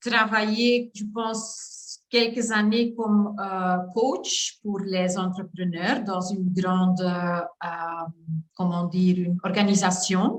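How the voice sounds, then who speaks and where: The pace is very slow. The intonation stays fairly even. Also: woman, medium pitch for a woman. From Flanders, Belgium. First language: Dutch (Flemish) (speaking French). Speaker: coach. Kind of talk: testimony. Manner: halting, many hesitations.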